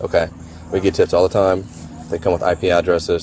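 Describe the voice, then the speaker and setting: Noticeable background noise surrounds this man. His very deep, low voice holds a fairly even intonation. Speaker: sheriff's detective. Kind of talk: police interview.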